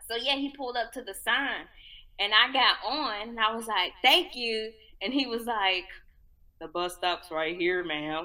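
Her pitch fairly high and her intonation lively, a woman talks at a moderate pace. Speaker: podcast host. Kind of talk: casual chat.

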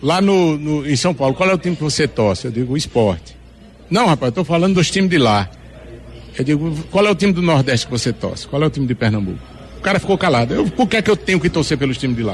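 A man's very fast speech, pitched fairly high, swings very widely up and down. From Northeast Brazil, Juazeiro do Norte, Ceará. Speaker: singer. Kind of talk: interview.

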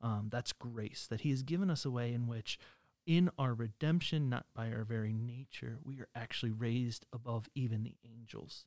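A man with an unremarkable speaking voice, medium pitch and ordinary pitch variation, at a moderate pace, in a dry, close sound with no echo. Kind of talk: casual religious discussion.

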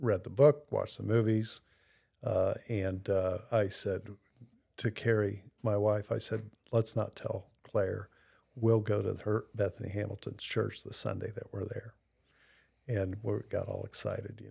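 The speaker talks at a fairly slow pace with long, frequent pauses. The recording is very clean, with a silent background. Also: man. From US Midwest (Columbus, Ohio). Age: 60s. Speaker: recovering alcoholic sharing his faith story. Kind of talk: casual interview, personal testimony. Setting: pastor's office.

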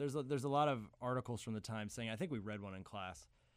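On a very clean recording with total background silence, a man is talking. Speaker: film professor. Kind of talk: casual chat.

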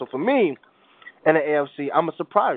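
Speaking at a fairly quick pace, a man with an American accent has a fairly high pitch. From New York. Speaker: podcast host. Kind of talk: interview. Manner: halting, repeats words.

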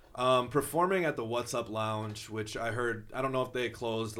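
A plain, everyday voice from a man, medium in pitch, with ordinary pitch variation at a fairly quick pace. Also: hardly any pauses. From southwest Minnesota, small town. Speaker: rapper. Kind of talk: casual interview chat.

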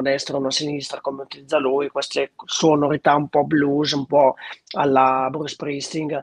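This man has a normal speaking voice at a fairly high pitch. He keeps a moderate pace, and the sound is dry and close with no echo. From northern Italy, Lombardy (Treviglio area). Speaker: singer-songwriter. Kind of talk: interview.

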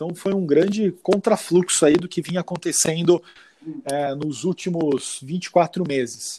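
This man's voice is high in pitch yet dark and mellow in tone. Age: 30s. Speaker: investment advisor. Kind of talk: interview.

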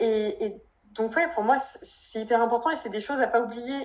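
This woman speaks at a fairly high pitch. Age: 20s. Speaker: novelist and physiotherapist. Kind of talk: casual interview. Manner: hesitant, many fillers.

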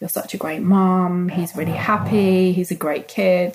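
A woman speaks somewhat breathily at a fairly slow pace. Her medium pitch stays in a monotone, flat intonation. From London. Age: 40s. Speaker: single mother. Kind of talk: interview.

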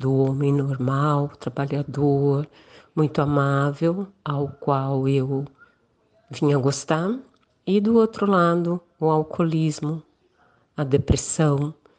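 The voice has a dark, mellow tone and ordinary pitch variation, moving at a very slow pace. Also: woman. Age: 60s. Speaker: listener asking for advice. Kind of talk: recorded listener question.

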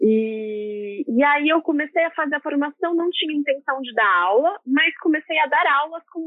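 Her pitch is high for a woman, and her intonation is lively. She talks at a moderate pace. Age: 20s. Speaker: yoga teacher. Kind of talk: casual interview.

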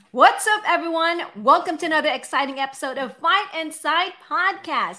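A woman projects a raised voice at an extremely high pitch, her tone bright and sharp. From Philippines. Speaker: podcast co-host. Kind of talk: casual chat.

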